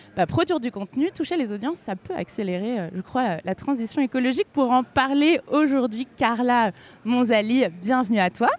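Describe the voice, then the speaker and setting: A woman speaks at a moderate pace in a high voice with lively intonation, recorded with a dry, close sound and no echo. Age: 20s. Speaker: podcast host, content creator. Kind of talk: scripted intro; live podcast interview. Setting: live event with audience.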